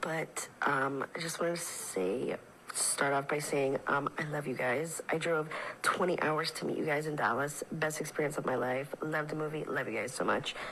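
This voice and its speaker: A woman's very deep, low voice with fairly even intonation at a moderate pace, over noticeable background noise. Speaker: listener leaving voice message. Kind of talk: voice message. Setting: recorded voice message.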